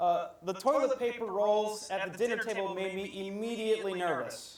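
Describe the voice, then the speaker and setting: Over noticeable background noise, a man with an American accent speaks in a high pitch. His pace is moderate, with ordinary pitch variation. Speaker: missionary English teacher, speaker. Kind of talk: sermon with consecutive interpretation.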